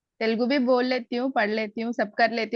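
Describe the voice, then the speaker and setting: Over a quiet background, a woman with a slight Hyderabadi accent speaks at a moderate pace and a high pitch, the sound dry and close with no echo. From Telugu-speaking, schooled in Delhi. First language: Telugu (speaking Hindi). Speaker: Gita class student. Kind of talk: testimony.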